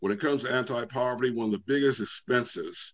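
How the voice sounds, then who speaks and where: Against a quiet background, the speaker goes at a moderate pace with ordinary pitch variation. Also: man. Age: 60s. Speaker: business federation institute president; guest. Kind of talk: online panel discussion. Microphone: video call.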